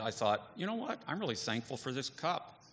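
The man's voice has a bright, sharp tone. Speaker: divinity faculty member. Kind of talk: testimony. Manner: casual, joking.

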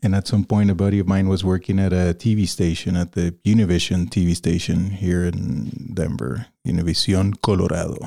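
Speaking at a fairly quick pace with hardly any pauses, a man uses a very deep, low pitch and a dark, mellow tone, his loudness very even and his pitch variation ordinary. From Venezuela, Caracas. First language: Spanish. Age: 40s. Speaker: video producer and director. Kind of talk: casual chat.

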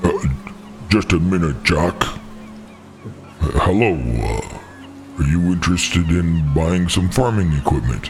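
A man puts on a character voice, very deep and low in pitch, with lively intonation and very even loudness. He goes at a fairly slow pace over clear background noise. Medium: actual play. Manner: halting, hesitant.

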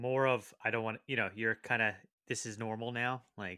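A man with an American accent at a fairly quick pace, bright and sharp in tone and monotone and flat in intonation, on a very clean recording with a silent background. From Connecticut. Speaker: podcast co-host. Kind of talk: casual chat.

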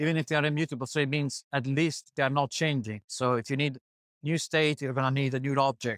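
A man talks in a plain, everyday voice at a fairly quick pace, his pitch fairly high. Intonation stays fairly even, loudness very even, and the sound is dry and close with no echo. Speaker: podcast interviewer. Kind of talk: casual interview. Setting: conference booth.

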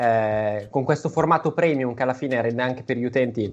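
A man with an ordinary speaking voice, at a medium pitch and fairly quick pace, with ordinary pitch variation. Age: 30s. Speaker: podcast co-host. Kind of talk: casual chat.

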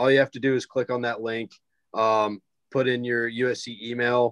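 A man talks in a normal speaking voice, medium in pitch, with an American accent. His intonation stays fairly even, and the sound is dry and close with no echo. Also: quiet background. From South Carolina, Greenville. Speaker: student peer career educator. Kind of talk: casual chat.

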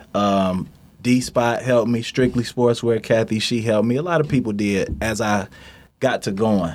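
In an unremarkable speaking voice with an American accent, a man talks at a moderate pace and medium pitch, with ordinary pitch variation and very even loudness. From Detroit. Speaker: clothing entrepreneur. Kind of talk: interview.

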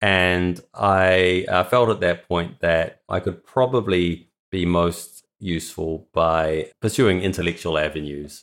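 In a New Zealand accent, a man speaks with a very deep, low pitch and fairly even intonation. His pace is very slow with hardly any pauses, and the recording is very clean with a silent background. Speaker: philosophy PhD student. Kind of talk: interview.

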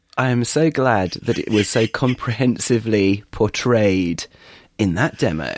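A man speaks in a British accent at a medium pitch. His pace is fairly slow, with ordinary pitch variation. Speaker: podcast co-host. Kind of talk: casual chat.

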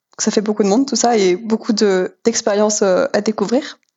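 A woman with an ordinary speaking voice. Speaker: student pilot. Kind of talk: interview.

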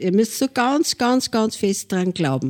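The recording is very clean, with a silent background behind a dark, mellow tone. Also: woman, dry, close sound with no echo. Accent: Upper Austrian. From Linz, Upper Austria. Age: 70s. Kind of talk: interview.

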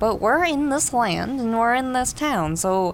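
In a put-on character voice, a female-sounding speaker talks at a fairly slow pace with a strained, fairly high pitch for a woman, over clear background noise.

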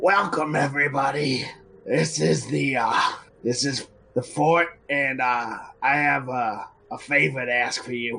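A raspy, put-on character voice at a fairly slow pace with ordinary pitch variation. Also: man, medium pitch for a man. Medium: actual play. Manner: casual, offhand, hesitant.

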